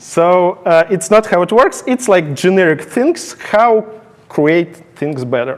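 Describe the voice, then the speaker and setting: A man with a non-native accent talks in a high voice at a very slow pace. Noticeable background noise runs underneath. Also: lively intonation. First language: not English. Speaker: conference speaker, software engineer. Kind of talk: technical conference talk. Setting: stage with audience. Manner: halting.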